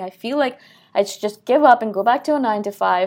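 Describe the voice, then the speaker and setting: On a very clean recording with a silent background, a woman of medium pitch speaks at a very fast pace. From India. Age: 30s. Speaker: podcast host. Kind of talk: solo monologue.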